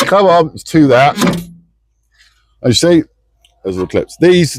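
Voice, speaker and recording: A man with a British accent speaks at a fairly slow pace, his loudness swinging widely. The sound is dry and close, with no echo. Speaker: DIY car repair vlogger. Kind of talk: casual DIY tutorial.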